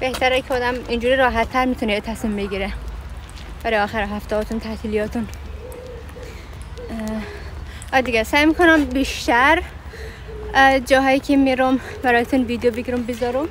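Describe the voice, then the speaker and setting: At a fairly quick pace, a woman with a high pitch speaks with fairly even intonation and long, frequent pauses. Noticeable background noise is present. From Afghanistan. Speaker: travel vlogger. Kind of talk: vlog, casual walk-and-talk. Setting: outdoors in a park. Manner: fast.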